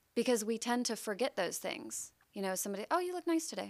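Lively intonation marks a woman's speech in a very clean recording with a silent background. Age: 20s. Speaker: podcast guest. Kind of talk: casual chat.

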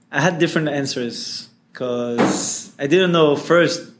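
There is audible room echo around a man's fairly high voice. His pitch varies in an ordinary way. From France. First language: French. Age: 20s. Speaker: social entrepreneur. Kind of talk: interview.

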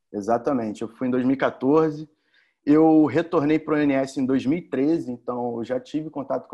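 This man's tone is dark and mellow. He talks fairly slowly. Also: quiet background. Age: 30s. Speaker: electrical engineer, former training participant. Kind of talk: casual interview, testimony. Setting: remote recording during quarantine.

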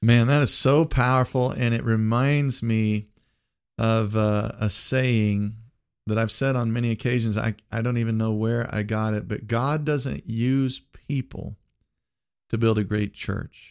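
A man with a normal speaking voice talks at a fairly slow pace, his medium pitch held in fairly even intonation. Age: 50s. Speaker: podcast host and pastor. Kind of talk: casual interview chat.

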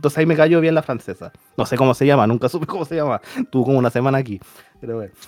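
A man's very fast, fairly high-pitched speech with a Chilean accent, music in the background, and a dry, close sound with no echo. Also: ordinary pitch variation. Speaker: podcast host. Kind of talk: casual chat.

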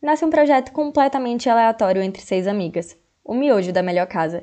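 A woman speaks with a dark, mellow tone. Her intonation is lively. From Jequié, interior of Bahia, Brazil. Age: 20s. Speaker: podcast co-host. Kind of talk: casual chat.

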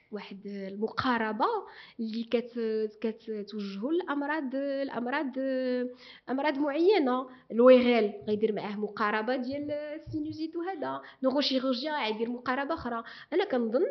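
A high-pitched woman's voice, fairly slow, with lively intonation. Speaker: neurosurgeon and medical professor. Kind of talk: interview.

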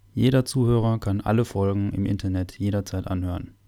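His tone dark and mellow, a man speaks at a moderate pace and a fairly low pitch. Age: 20s. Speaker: parish podcast host and altar server. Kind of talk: semi-scripted parish podcast conversation. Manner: formal.

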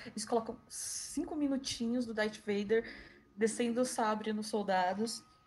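A woman's fairly high voice at a fairly slow pace with fairly even intonation, music in the background. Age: 30s. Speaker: podcast co-host, pop culture fan. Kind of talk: casual chat.

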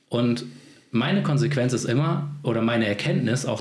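A man talks with ordinary pitch variation. Noticeable background noise and audible room echo surround his voice. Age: 40s. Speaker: video production company owner. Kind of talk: casual interview.

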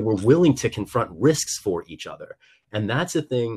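With an American accent, a man speaks fairly quickly at a medium pitch, his voice somewhat breathy and his intonation lively. The recording is very clean, with a silent background and a dry, close sound with no echo. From US Midwest, rural Missouri. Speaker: congressional candidate. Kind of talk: political interview. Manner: animated.

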